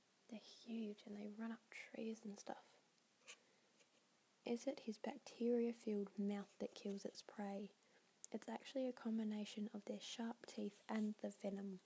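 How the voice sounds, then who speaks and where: Someone whispers in a soft-spoken way. The pace is fairly slow. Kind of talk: ASMR ramble. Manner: whispery, soft-spoken.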